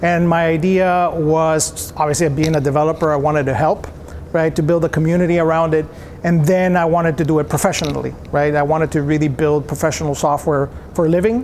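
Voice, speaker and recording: A man with a Spanish accent speaks at a fairly quick pace and fairly high pitch, with fairly even intonation and very even loudness over noticeable background noise. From El Salvador. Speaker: software company founder. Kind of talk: interview.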